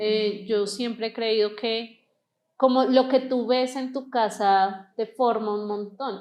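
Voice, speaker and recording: A woman speaks very slowly in a high pitch, her pitch varying in an ordinary way. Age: 30s. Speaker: interview guest sharing church experience. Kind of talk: testimony.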